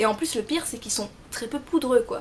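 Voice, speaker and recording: This woman has a high voice and a Belgian accent. She talks at a moderate pace with ordinary pitch variation. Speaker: beauty vlogger. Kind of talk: product review tutorial.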